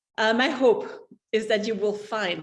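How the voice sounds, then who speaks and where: With ordinary pitch variation, a woman speaks in a non-native accent. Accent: noticeable foreign. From mixed European upbringing (France, Spain, Switzerland). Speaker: entrepreneur. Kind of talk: prepared talk.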